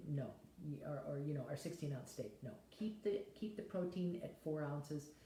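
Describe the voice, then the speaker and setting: A woman talks at a fairly quick pace with lively intonation and a very deep, low pitch. Room echo is audible. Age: 70s. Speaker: health vlogger. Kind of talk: casual talk to camera. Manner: rambling, conversational with fillers.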